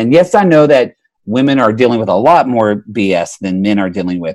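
Speaking at a fairly quick pace with an American accent, the man makes very wide pitch swings. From Oklahoma. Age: 30s. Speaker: therapist and podcaster. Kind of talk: casual chat.

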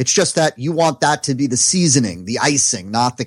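On a very clean recording with a silent background and a dry, close sound with no echo, a man with an American accent speaks at a moderate pace in a medium pitch with lively intonation. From New Jersey. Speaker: online marketing consultant. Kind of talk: interview.

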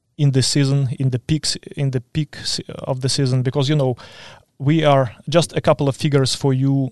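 A man talks at a moderate pace with medium pitch and monotone, flat intonation. The sound is dry and close, with no echo. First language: Ukrainian or Russian. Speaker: agronomy support specialist. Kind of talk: interview. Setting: studio.

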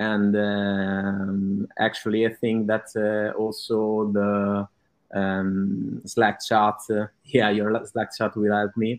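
Speaking at a very slow pace, a man with an Italian accent uses a fairly low pitch and flat, monotone intonation. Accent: Italian, noticeable. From Italy. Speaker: digital advertiser. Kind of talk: testimonial interview. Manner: halting, many fillers.

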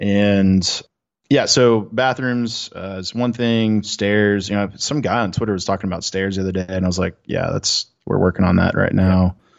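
In an unremarkable speaking voice, a man talks at a fairly low pitch and moderate pace with fairly even intonation. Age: 20s. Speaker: software startup co-founder. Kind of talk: casual chat.

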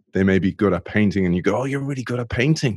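Heard in a very clean recording with a silent background, a man with an Irish accent speaks with ordinary pitch variation. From Ireland. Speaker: former pro rugby player, innovation podcast host. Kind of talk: interview conversation.

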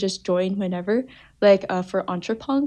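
Over a quiet background, a woman speaks in an American accent with a dark, mellow tone. Her pace is moderate and her pitch variation ordinary. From New Jersey, US. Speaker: undergraduate student. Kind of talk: casual interview.

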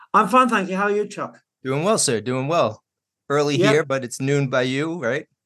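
A man in a Brooklyn accent talks at a moderate pace with a fairly high pitch. His tone is bright and sharp, and his intonation is lively. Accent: Brooklyn New York. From New York. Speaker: podcast host. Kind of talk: interview.

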